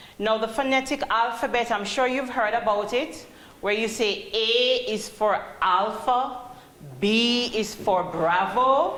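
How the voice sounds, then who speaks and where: In a room with audible echo and noticeable background noise, a woman with a Jamaican accent speaks at a very slow pace and fairly high pitch, with very even loudness and ordinary pitch variation. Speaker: call center trainer. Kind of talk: training presentation.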